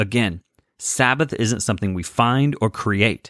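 A man speaks at a fairly low pitch with ordinary pitch variation. The recording is very clean, with a silent background and a dry, close sound with no echo. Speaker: podcast host and life coach. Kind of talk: solo podcast monologue with faith teaching. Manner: loud.

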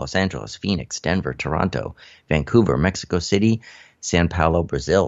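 A man with a very deep, low pitch and vocal fry speaks at a moderate pace with lively intonation. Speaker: cannabis radio host. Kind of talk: radio DJ patter, stoner-themed show intro and news rundown. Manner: upbeat, animated, playful.

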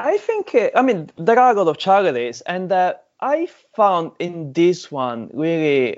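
Speaking with an Italian accent, a man talks at a fairly slow pace. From Sicily, Italy. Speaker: mountain biker and charity fundraiser. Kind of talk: casual interview chat.

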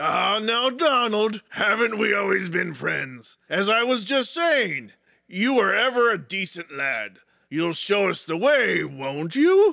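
The voice is raised and projected, moving at a fairly slow pace. Its pitch swings very widely. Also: man, high pitch for a man. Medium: audio drama. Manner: scheming, wheedling.

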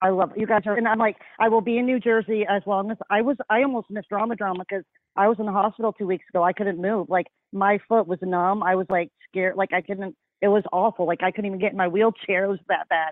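The speaker is a woman with a medium pitch. She talks at a very fast pace with fairly even intonation.

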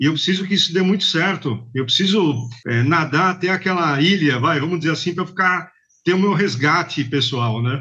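A man with a bright, sharp tone speaks at a moderate pace. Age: 50s. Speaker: bike courier company manager. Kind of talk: interview.

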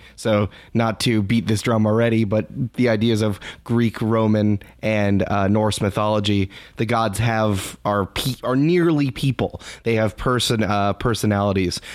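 A normal speaking voice from a man, fairly low and fairly slow, with fairly even intonation and very even loudness, on a very clean recording with a silent background. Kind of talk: casual interview chat.

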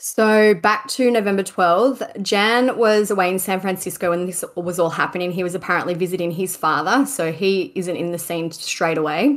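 With an unremarkable speaking voice, a woman talks at a moderate pace and medium pitch, with ordinary pitch variation and hardly any pauses. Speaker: podcast co-host. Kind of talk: casual chat and true crime storytelling. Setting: remote call. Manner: laughs often.

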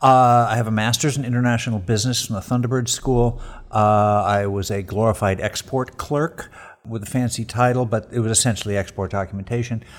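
At a fairly quick pace, a man talks at a medium pitch with fairly even intonation, a normal speaking voice. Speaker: street photographer. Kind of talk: interview conversation. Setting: at guest's home.

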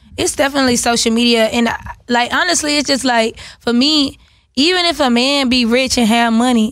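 Her pitch high and its variation ordinary, a woman speaks at a moderate pace. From Atlanta, Georgia (south side). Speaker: rapper. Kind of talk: casual chat.

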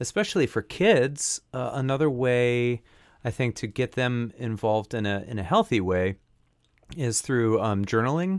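On a very clean recording with a silent background and a dry, close sound with no echo, a man with an ordinary speaking voice talks at a fairly slow pace, medium in pitch and lively in intonation. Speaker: podcast co-host and audio engineer. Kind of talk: casual chat.

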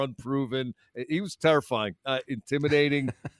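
A man with an unremarkable speaking voice talks at a fairly quick pace and a fairly high pitch. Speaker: sports radio panelist. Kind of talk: casual chat.

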